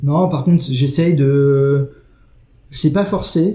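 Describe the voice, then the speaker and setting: A man talks with fairly even intonation and a dark, mellow tone. His voice is somewhat breathy. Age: 40s. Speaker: advertising creative. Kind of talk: interview. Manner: halting.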